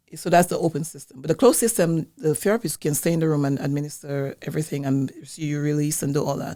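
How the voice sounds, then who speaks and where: A woman speaks at a very fast pace with hardly any pauses, her very deep, low pitch carrying a dark, mellow tone and ordinary pitch variation on a very clean recording with a silent background. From Dominica, West Indies. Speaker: wellness business owner, colon hydrotherapist. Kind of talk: interview. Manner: halting, with restarts.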